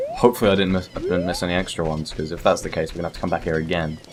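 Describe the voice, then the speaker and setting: A man speaks over noticeable background noise. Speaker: gaming video creator. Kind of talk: let's play commentary. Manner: casual, rambling. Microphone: uneven level, too quiet or too loud.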